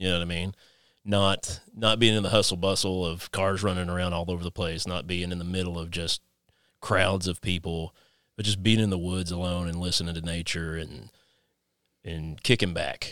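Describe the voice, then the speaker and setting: In a very clean recording with a silent background, a man speaks in an Appalachian accent at a moderate pace. His voice is very deep and low, with monotone, flat intonation. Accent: Appalachian Kentucky. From Kentucky. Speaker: podcast host. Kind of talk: casual interview chat.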